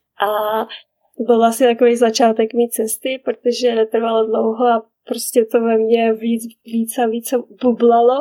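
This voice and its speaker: A woman's fairly high pitch in a dark, mellow tone, with flat, monotone intonation at a fairly slow pace, in dry, close sound with no echo. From Czech Republic, small village. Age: 30s. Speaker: mother living abroad. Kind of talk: casual interview. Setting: remote call.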